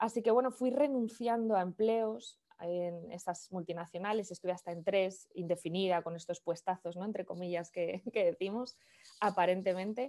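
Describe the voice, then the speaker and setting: A woman's dark, mellow voice at medium pitch, with a northern Spanish accent, ordinary pitch variation and a moderate pace. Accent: northern peninsular Spanish (Castilian). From Spain, Valladolid (Castile). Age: 30s. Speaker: digital business consultant. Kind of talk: interview conversation.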